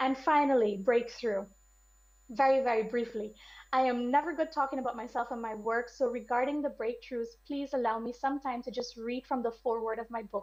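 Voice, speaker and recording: The intonation stays fairly even at a fairly quick pace. The recording is very clean, with a silent background. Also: woman, high pitch for a woman. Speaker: academic researcher. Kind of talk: conference talk. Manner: fast.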